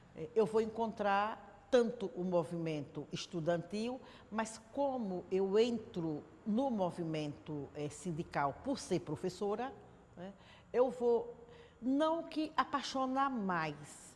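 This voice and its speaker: A woman's medium-pitched voice at a very slow pace, with very wide pitch swings. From Sergipe, Brazil (Aracaju from age nine). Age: 60s. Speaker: city councillor, teacher and trade unionist. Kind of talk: interview testimony.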